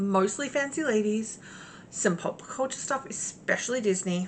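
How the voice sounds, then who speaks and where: A woman speaks with an Australian accent. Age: 40s. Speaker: cross-stitch vlogger. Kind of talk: casual chat. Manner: hesitant, many fillers.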